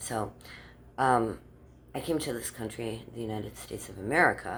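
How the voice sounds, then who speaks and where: A woman speaks at a moderate pace in a very deep, low voice, her loudness swinging widely amid audible room echo. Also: ordinary pitch variation. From Germany. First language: German. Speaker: vlogger. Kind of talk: casual monologue. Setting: outdoors in the dark.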